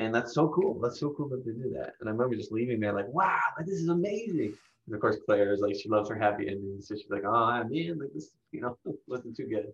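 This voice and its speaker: Lively in intonation, a man talks at a very fast pace. His voice is somewhat breathy. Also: medium pitch for a man. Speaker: podcast co-host. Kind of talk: casual chat.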